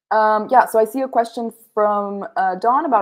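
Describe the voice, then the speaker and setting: A woman with an American accent, a normal speaking voice, fairly high pitch and ordinary pitch variation, against a quiet background. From USA. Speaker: sustainability researcher, recent graduate; guest. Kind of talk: presentation on livestream; Q&A. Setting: video call livestream. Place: home room. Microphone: video call.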